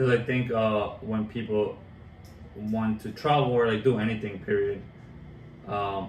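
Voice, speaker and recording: With long, frequent pauses, a man speaks in a fairly low, monotone and flat voice while noticeable background noise carries on behind him. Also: fairly slow pace. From Colombia. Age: 20s. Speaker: track and field coach, transcontinental cyclist. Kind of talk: interview answer.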